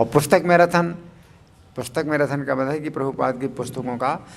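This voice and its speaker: A man talks at a moderate pace with a fairly high pitch and ordinary pitch variation. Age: 60s. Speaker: spiritual teacher. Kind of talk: religious discourse. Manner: hesitant, with fillers.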